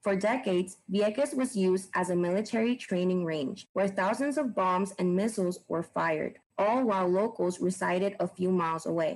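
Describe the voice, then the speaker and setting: With a Puerto Rican accent, a woman speaks at a moderate pace and medium pitch, her loudness very even, her pitch varying in an ordinary way, and hardly any pauses. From Puerto Rico. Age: 20s. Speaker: former library intern. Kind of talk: scripted narration.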